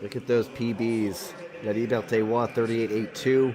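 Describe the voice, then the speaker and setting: A man talks at a medium pitch while noticeable background noise can be heard. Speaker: sports commentator. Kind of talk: live commentary.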